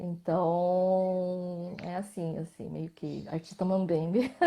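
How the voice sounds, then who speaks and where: A woman's dark, mellow voice at a medium pitch. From Brazil, Mato Grosso. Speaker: visual artist. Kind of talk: interview in a live video stream. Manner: halting, many false starts.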